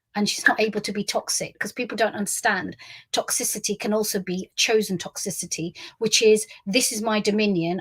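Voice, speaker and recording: Recorded very cleanly against a silent background, a woman with a London accent and fairly high pitch sounds somewhat breathy, with fairly even intonation and a dry, close sound with no echo. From South West London. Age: 50s. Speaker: memoirist. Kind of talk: monologue. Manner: stream of consciousness.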